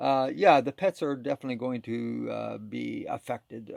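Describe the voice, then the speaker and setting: In a very clean recording with a silent background and a dry, close sound free of echo, a man of medium pitch talks at a fairly slow pace in a plain, everyday voice. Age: 60s. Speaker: ex-smoker, self-proclaimed philosopher. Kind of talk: casual talk to camera.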